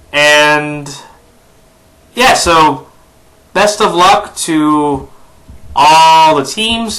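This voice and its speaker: A man with ordinary pitch variation and long, frequent pauses. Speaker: NFL YouTuber. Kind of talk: sports predictions vlog. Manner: hesitant, many fillers.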